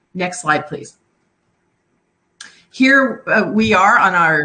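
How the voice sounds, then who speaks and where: A woman's voice sits at a medium pitch. She talks at a fairly slow pace. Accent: American. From US Midwest, Chicago. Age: 60s. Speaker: genealogy contestant. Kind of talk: slide presentation. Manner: halting, many fillers.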